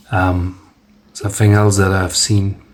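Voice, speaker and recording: Very slowly, a man talks with a very deep, low pitch, monotone, flat intonation and a somewhat breathy voice. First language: Dutch. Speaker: amateur tech reviewer. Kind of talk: product review demo. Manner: halting, many fillers and restarts.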